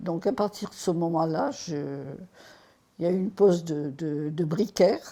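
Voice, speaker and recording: A very slow, fairly low woman's voice with a dark, mellow tone. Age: 80s+. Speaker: retired accountant, ostomy patient. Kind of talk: testimony. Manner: halting.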